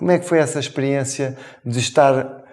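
A man talks at a fairly slow pace with a European Portuguese accent. The background is quiet. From Portugal. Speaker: interview show host; talk show host. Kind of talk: interview. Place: studio. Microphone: lapel.

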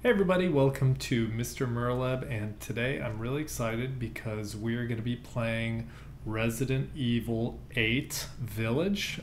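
Light background noise sits behind a man speaking at a fairly slow pace with ordinary pitch variation. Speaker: gamer. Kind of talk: casual gaming commentary. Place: home room. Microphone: headset.

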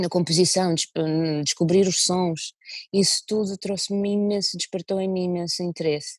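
Speaking with a Russian accent, a woman holds a medium pitch and a monotone, flat intonation at a moderate pace, recorded with a dry sound with no echo against a quiet background. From Russia (Moscow). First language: Russian (speaking Portuguese). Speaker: violinist and singer; interviewee. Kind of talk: interview. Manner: halting. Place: home room. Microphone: earbuds.

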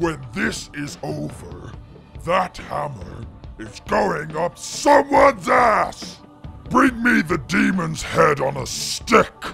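A man shouting in a put-on character voice at a very slow pace, with clear music in the background. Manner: aggressive, shouting.

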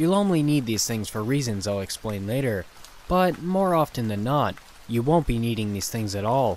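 Amid noticeable background noise, a man speaks at a moderate pace and medium pitch, with very wide pitch swings. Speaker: horror story narrator. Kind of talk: scripted narration.

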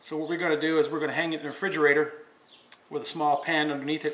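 A man talks at a fairly quick pace, and the room echo is audible. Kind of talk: tutorial. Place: kitchen.

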